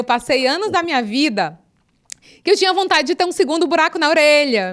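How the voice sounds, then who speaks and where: With lively intonation, a woman talks at a high pitch and a moderate pace. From Brazil, Northeast (Picos, Piauí). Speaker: podcast host, journalist. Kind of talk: casual interview chat.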